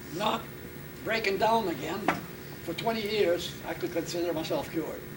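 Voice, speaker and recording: A man at a moderate pace with fairly even intonation, amid audible room echo and noticeable background noise. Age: 90s. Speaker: war veteran. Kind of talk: interview. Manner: halting.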